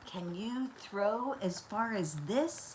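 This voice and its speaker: A woman's put-on character voice at medium pitch, with clear background noise. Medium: read story. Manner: hearty, boastful.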